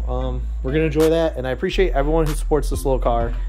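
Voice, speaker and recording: Clear music plays behind a man who talks at a very fast pace. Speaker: car hobbyist vlogger. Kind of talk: casual vlog chat. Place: garage. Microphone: phone near.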